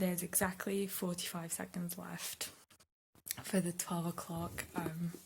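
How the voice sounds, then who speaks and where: A quiet whisper moves along at a fairly slow pace. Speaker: booktuber. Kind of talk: vlog. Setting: at home at night. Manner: whispering quietly. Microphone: hard to hear, too quiet.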